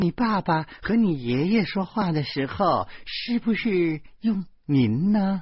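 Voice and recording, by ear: Doing a put-on character voice, a man speaks slowly at a high pitch with big pitch swings and a slightly husky edge.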